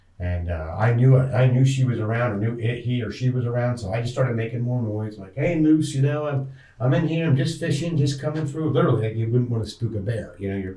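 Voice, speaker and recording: A man with a Pennsylvania accent talks at a very fast pace with hardly any pauses. His medium pitch varies in an ordinary way, and there is audible room echo. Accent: Pennsylvania American English. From northeast Pennsylvania. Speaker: outdoorsman, hunter and angler. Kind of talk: interview storytelling. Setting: podcast recording.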